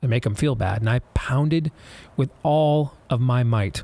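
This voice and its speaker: Ordinary pitch variation marks this man's speech in an American accent. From US Midwest, Iowa. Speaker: talk radio host. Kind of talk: political talk show. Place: studio. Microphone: studio mic.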